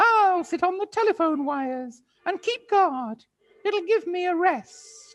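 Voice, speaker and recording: The put-on character voice is squeaky and comes at a fairly slow pace. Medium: read story.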